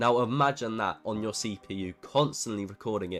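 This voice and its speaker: With music in the background, a man speaks at a medium pitch with lively intonation. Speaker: PC gaming tutorial creator. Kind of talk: tutorial. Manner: fast.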